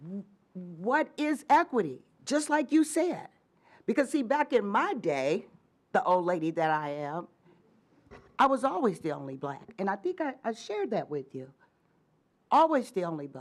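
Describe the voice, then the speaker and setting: A woman at a medium pitch uses vocal fry, very wide pitch swings and big swings in loudness, leaving long, frequent pauses. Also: moderate pace. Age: 60s. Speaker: community activist. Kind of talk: panel discussion.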